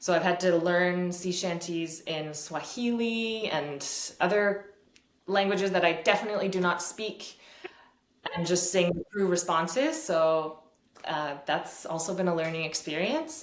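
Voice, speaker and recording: The speaker goes at a fairly slow pace with an ordinary amount of pitch variation, in a Canadian accent. Room echo is audible. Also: woman, fairly low pitch for a woman. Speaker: fiddle teacher. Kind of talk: interview. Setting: video call.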